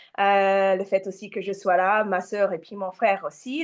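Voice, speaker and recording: A woman speaks at a fairly slow pace with a slight non-native accent. The background is quiet. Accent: slight foreign accent in French. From Japan and Australia, mixed. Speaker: massage therapist and women's coach. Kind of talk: interview. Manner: hesitant, many fillers.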